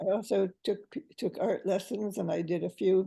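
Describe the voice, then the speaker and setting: This voice has a dark, mellow tone with vocal fry, ordinary pitch variation and a moderate pace. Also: woman. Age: 80s+. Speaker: poet and retired teacher. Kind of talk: interview answer.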